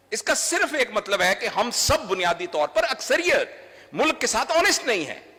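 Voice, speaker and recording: A man speaks in a raised, projected voice with very wide pitch swings. Noticeable background noise runs behind him. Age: 60s. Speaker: doctor and trainer. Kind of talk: public speech. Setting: stage with audience.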